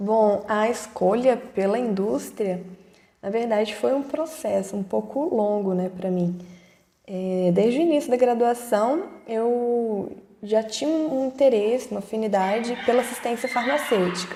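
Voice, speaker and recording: Noticeable background noise sits behind a woman speaking at a fairly slow pace. Her voice is fairly high, with ordinary pitch variation. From Brazil, Ouro Preto (Minas Gerais). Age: 20s. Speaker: pharmacist, production supervisor. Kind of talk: online talk to students. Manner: halting, many fillers.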